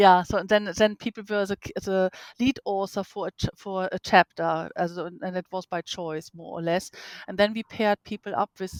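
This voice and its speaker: In a non-native accent, a woman speaks at a moderate pace and medium pitch with ordinary pitch variation, the sound dry and close with no echo. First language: not English. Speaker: professor. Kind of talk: interview. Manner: halting, many fillers.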